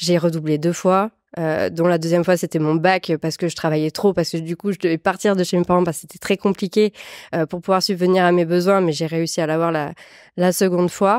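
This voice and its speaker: In a southwestern French accent, a woman speaks fairly quickly at a fairly low pitch with monotone, flat intonation, the sound dry and close with no echo on a very clean recording with a silent background. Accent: south-western French (Landes). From France, Landes (south-west). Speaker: entrepreneur, personal branding agency founder. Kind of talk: interview. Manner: hesitant, many fillers.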